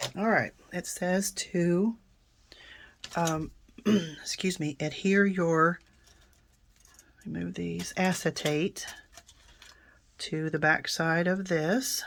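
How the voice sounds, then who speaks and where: In a very clean recording with a silent background, a woman speaks at a very slow pace and a fairly low pitch, with fairly even intonation and long, frequent pauses. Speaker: card-making crafter. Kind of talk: crafting tutorial. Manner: casual, chatty with fillers.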